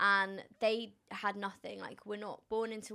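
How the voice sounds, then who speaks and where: In a British accent, a woman speaks with monotone, flat intonation. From London, England. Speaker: influencer and entrepreneur.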